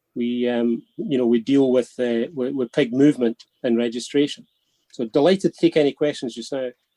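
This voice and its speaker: In a Scottish accent, a man speaks at medium pitch with a dark, mellow tone, fairly even intonation, and big swings in loudness. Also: moderate pace. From Scotland. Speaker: pig industry traceability expert. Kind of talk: webinar talk. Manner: repeats words, halting in places.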